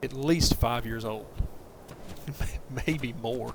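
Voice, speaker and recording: With a Southern US accent, a man of medium pitch speaks fairly slowly and fairly evenly against noticeable background noise. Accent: Southern accent, fairly strong. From US South, southern Middle Tennessee. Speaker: video game streamer. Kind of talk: casual gameplay commentary on a livestream.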